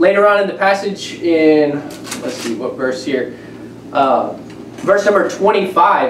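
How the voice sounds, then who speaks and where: A man talks at a very slow pace. Light background noise and an audible room echo are present. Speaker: preacher. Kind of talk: sermon. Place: home room.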